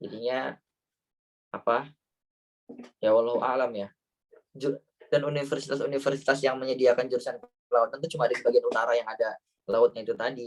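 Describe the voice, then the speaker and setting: A man speaking at a very fast pace with long, frequent pauses, in a dry, close sound with no echo. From Central Java, Banyumas area. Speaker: Indonesian living in Germany, talk show guest. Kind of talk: online talk show Q&A. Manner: casual, hesitant with fillers.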